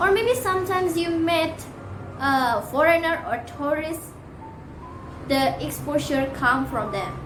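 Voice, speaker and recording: Music plays in the background as a speaker with an Indonesian accent talks at a fairly slow pace with lively intonation and long, frequent pauses, all carrying audible room echo. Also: woman, extremely high pitch for a woman. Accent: Balinese-accented English. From Bali, Indonesia. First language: Balinese. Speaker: university student. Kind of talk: class presentation. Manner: halting.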